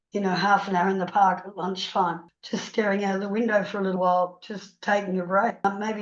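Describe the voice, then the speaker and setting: A woman talks at a fairly quick pace with flat, monotone intonation. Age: 70s. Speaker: author and counsellor. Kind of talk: webinar interview.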